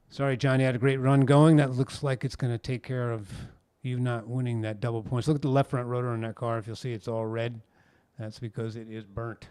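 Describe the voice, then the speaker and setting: At a fairly quick pace, a man talks at a medium pitch in a very clean recording with a silent background. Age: 60s. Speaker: sim racing commentator. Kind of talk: live commentary. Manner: animated.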